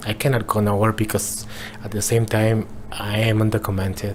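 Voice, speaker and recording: A man with a Mexican accent talks at a fairly quick pace in a fairly low pitch. His intonation is monotone and flat, and noticeable background noise can be heard. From Mexico. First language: Spanish. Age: 40s. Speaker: interviewee sharing life with HIV. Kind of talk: personal testimony interview. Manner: halting, with repetitions.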